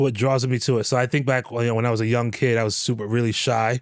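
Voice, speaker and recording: At a moderate pace, a man with an American accent speaks in an ordinary speaking voice at a medium pitch. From New York City. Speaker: comedian and army veteran. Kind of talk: casual interview chat.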